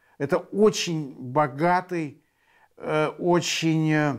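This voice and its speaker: A man's fairly high voice with ordinary pitch variation over a quiet background. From Yakutia, Siberia, then Denmark from childhood. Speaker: journalist and translator; interviewee, journalist. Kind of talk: interview. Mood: calm reminiscing. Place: home room. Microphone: lapel.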